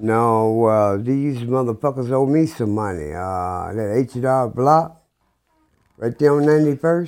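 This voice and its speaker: A man with a normal speaking voice, medium pitch, lively intonation and a fairly slow pace. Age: 60s. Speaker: unhoused recurring guest. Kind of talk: casual chat.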